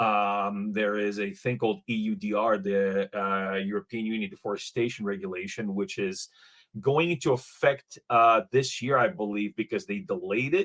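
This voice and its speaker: A man's fairly low voice at a moderate pace, with ordinary pitch variation and a non-native accent, in a dry, close sound with no echo. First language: not English. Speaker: blockchain startup founder. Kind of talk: panel discussion. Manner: halting, many fillers and repeats.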